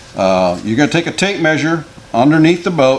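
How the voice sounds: A man at a moderate pace, with audible room echo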